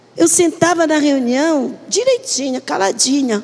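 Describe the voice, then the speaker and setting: A woman speaks with lively intonation and an animated tone over noticeable background noise. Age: 70s. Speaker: pastor. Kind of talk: sermon. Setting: church, live stream. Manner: animated storytelling.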